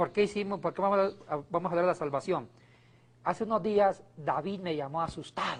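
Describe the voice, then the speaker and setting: Fairly quick, high-pitched speech from a man, his pitch varying in an ordinary way. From Colombia. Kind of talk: casual religious talk show banter.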